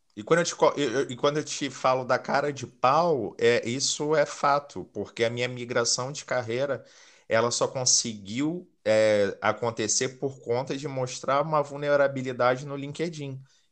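In a Rio de Janeiro accent, a man with a medium pitch and fairly even intonation speaks at a fairly slow pace with hardly any pauses against a quiet background. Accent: Carioca Brazilian Portuguese. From Rio de Janeiro, Brazil. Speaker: recruiter. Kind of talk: podcast interview.

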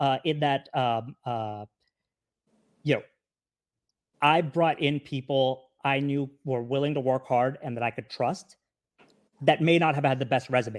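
Long, frequent pauses break up this man's speech. He holds a medium pitch with fairly even intonation. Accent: American. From California. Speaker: multi-unit restaurant franchisee. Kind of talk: podcast interview. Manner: halting, many fillers and repeats.

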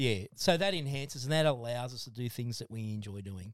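With an Australian accent, a man speaks at a moderate pace in a medium pitch with ordinary pitch variation. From Australia, Blue Mountains NSW. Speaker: podcast guest, former machinist and drummer. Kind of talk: casual chat.

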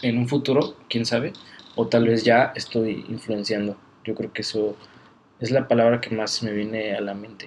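He has a normal speaking voice at a medium pitch. His pace is moderate and his intonation fairly even. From Mexico, Guadalajara. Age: 20s. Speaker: Bible college student. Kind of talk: casual interview. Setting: Bible college campus.

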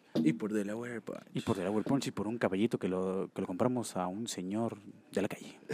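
A man with a dark, mellow tone and fairly low pitch, at a fairly quick pace. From Mexico. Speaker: podcast host. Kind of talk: casual chat. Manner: animated.

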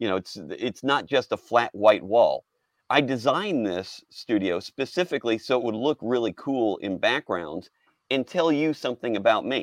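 A man's plain, everyday voice at medium pitch and moderate pace, with an American accent, in a dry, close sound with no echo and a quiet background. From Texas, Houston. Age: 50s. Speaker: storyboard artist. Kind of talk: casual interview.

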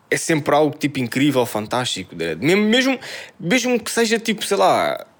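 This man's pitch is fairly high. He speaks with a European Portuguese accent. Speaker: podcast co-host. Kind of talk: casual chat.

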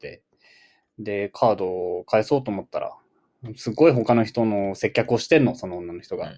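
With lively intonation and a fairly quick pace, a man speaks at medium pitch in a dry, close sound with no echo. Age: 20s. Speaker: podcast co-host. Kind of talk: casual chat. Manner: animated.

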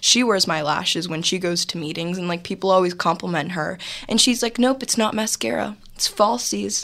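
A woman with an American accent, fairly low pitch and lively intonation. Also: moderate pace. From Los Angeles, California. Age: young. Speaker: entrepreneur. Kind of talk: interview. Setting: studio.

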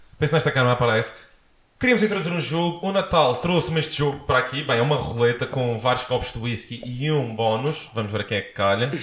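Talking at a very fast pace, a man with a European Portuguese accent and a medium pitch uses lively intonation. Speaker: podcast host. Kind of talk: casual interview. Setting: home studio, sitting on sofa.

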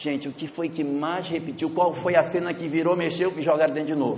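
A man speaks at a high pitch in a northern Brazilian accent. His pace is moderate, and room echo is audible. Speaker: spiritist lecturer. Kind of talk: lecture.

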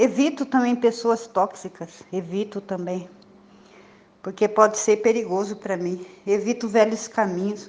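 A woman has an unremarkable speaking voice with a fairly high pitch and fairly even intonation. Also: fairly slow pace. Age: 60s. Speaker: recovering alcoholic sharing at support meeting. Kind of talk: testimony.

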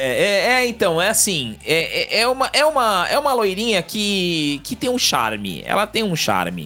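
A man talks at a fairly slow pace with hardly any pauses. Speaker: podcast co-host. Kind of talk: casual chat.

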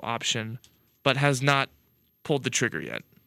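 On a very clean recording with a silent background, a man with a fairly high pitch and a bright, sharp tone sounds dry and close with no echo. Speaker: college radio sports co-host. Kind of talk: casual chat. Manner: deadpan, joking.

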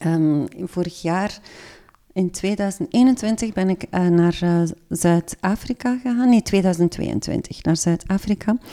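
Speaking at a very slow pace, a woman with a dark, mellow tone and medium pitch shows ordinary pitch variation in a dry, close recording with no echo. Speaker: literary journalist. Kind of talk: casual interview.

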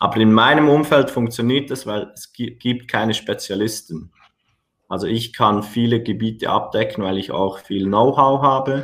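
This man has a plain, everyday voice at medium pitch, with ordinary pitch variation and a moderate pace. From Switzerland. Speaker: personal trainer and gym owner. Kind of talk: podcast interview.

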